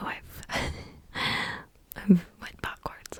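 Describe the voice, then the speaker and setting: A woman whispers over noticeable background noise. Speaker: ASMR reader. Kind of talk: casual chatty talk to camera. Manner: soft-spoken, friendly.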